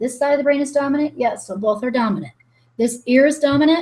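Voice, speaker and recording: A woman's animated, high-pitched voice. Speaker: energy healing coach. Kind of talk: guided exercise on webinar. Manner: fast.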